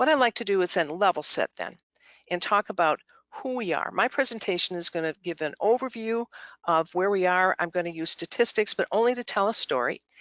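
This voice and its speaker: With an American accent, a woman talks at a fairly quick pace in a medium pitch, her intonation lively, the sound dry and close with no echo against a quiet background. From Michigan, US Midwest. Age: 60s. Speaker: nonprofit chief executive. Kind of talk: annual meeting presentation. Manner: halting, many fillers.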